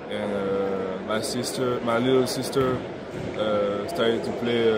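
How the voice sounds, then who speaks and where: A man with a French accent speaks at a very slow pace. Loud background noise fills the recording. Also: dry sound with no echo. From France. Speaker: basketball prospect. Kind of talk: interview. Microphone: phone near.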